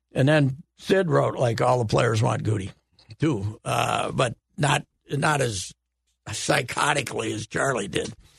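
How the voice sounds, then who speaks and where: Vocal fry and lively intonation at a fairly slow pace, in a dry, close sound with no echo. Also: man, medium pitch for a man. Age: 70s. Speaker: sports columnist. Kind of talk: casual chat. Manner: animated.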